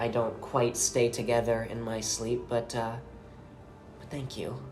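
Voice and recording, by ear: At a fairly slow pace, a woman speaks with audible room echo around her. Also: slightly mellow tone.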